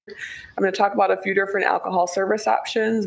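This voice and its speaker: A woman can be heard with noticeable background noise around her. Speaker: city staff presenter. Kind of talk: council presentation. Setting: city council work session.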